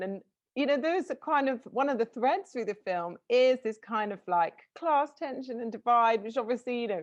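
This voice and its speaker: In a southern English accent, a woman with a high voice speaks at a moderate pace, her pitch swinging very widely against a quiet background. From southern England. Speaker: interviewer. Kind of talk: interview.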